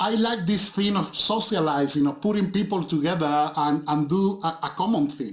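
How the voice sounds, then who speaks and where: A man with a Spanish accent talks at a high pitch for a man and a moderate pace, with ordinary pitch variation and very even loudness. He takes hardly any pauses, and noticeable background noise is present. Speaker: film director and visual effects supervisor. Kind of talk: interview. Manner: halting, with frequent repetitions.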